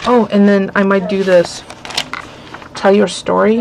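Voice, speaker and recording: A woman speaks at a moderate pace. Light background noise is present. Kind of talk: casual haul vlog chat. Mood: cheerful, amused. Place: home room. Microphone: webcam.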